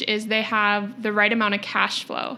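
A woman with an Upper Midwest accent, fairly high in pitch, at a moderate pace. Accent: Upper Midwest American. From Rochester, Minnesota, US Midwest. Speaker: financial planner, business owner. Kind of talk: casual interview chat.

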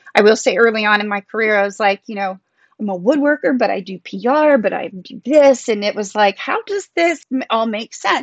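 A woman speaks in a plain, everyday voice at a moderate pace. The sound is dry and close, with no echo. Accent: American. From US South, Texas and South Carolina. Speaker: artist and writer. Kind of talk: interview conversation.

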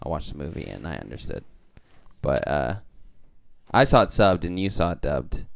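A man with a very deep, low pitch and vocal fry, at a fairly quick pace with long, frequent pauses, very wide pitch swings and big swings in loudness. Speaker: podcast panelist. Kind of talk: casual chat. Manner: playful.

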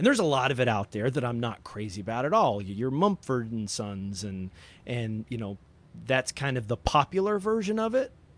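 Against a quiet background, a man with an Appalachian accent speaks at a moderate pace with lively intonation. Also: medium pitch for a man. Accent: Appalachian Southern American. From US South, Appalachian southwest Virginia. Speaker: record label owner. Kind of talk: casual interview.

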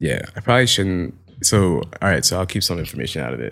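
A man with a very deep, low pitch and vocal fry speaks at a very fast pace. The recording is very clean, with a silent background. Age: 20s. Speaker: fashion photographer. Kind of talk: casual chat.

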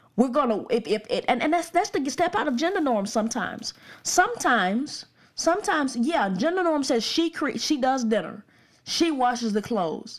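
Speaking at a moderate pace in an Alabama accent, this voice swings very widely in pitch. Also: woman, high pitch for a woman. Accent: US Southern (Alabama). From Alabama, Birmingham suburbs. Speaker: pastor and podcast host. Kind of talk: podcast sermon / teaching monologue.

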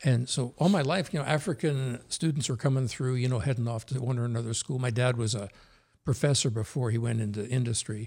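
Somewhat breathy speech comes at a very fast pace in a very clean recording with a silent background. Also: man, medium pitch for a man, ordinary pitch variation. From New Jersey, US. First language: Norwegian. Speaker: former police chief. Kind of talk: casual conversational interview.

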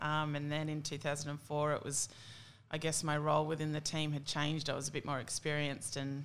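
A woman with an Australian accent, very deep and low in pitch, at a fairly quick pace. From Australia, country New South Wales (Tamworth). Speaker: Olympic softball player. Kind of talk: casual chat.

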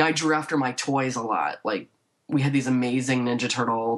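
A woman with a very deep, low voice and an American accent, at a moderate pace. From northern Illinois (Waukegan, north of Chicago). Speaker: painter. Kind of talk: casual interview. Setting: remote call from her office.

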